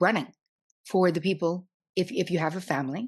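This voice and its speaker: With a New Jersey accent, a woman speaks in an animated tone at a medium pitch. The background is quiet. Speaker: psychotherapist. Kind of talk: podcast interview.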